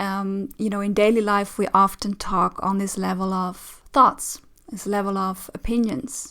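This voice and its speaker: At a moderate pace, a woman with a Dutch accent speaks at a medium pitch. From Netherlands. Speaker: relationship coach. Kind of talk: reaction commentary. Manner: hesitant, many fillers.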